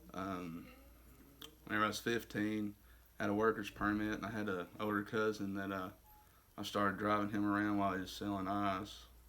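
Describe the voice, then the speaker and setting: A man's fairly low, bright and sharp voice, flat and monotone, at a fairly quick pace broken by long, frequent pauses. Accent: Arkansas. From US South, Arkansas. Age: 20s. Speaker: recovering addict in a faith-based rehab program. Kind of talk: testimony. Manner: halting, many fillers.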